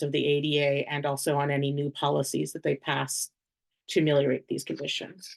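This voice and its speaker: Someone with an American accent speaks at a fairly quick pace against a quiet background. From New Orleans, US South. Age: 40s. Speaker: HIV law policy advocate presenting on a webinar panel. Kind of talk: webinar presentation. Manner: fast.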